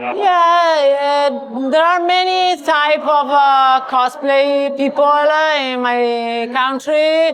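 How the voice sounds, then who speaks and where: The speech moves at a very slow pace. Noticeable background noise runs underneath it. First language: non-English. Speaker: cosplayer. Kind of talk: interview. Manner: halting.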